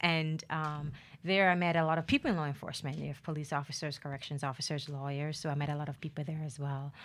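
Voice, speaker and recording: On a very clean recording with a silent background, a woman with a very deep, low voice speaks very fast in a flat monotone. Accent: American. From Jamaica, Ocho Rios. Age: 30s. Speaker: lawyer. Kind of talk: interview.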